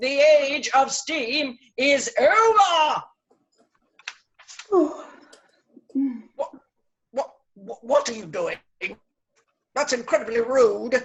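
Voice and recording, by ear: A put-on character voice, pitched high. It moves at a very slow pace with long, frequent pauses.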